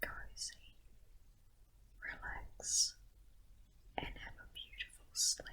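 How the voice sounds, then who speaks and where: Noticeable background noise surrounds a woman who whispers very slowly. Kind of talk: guided sleep meditation. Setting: home recording with garden nature sounds. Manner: whispered, soft-spoken.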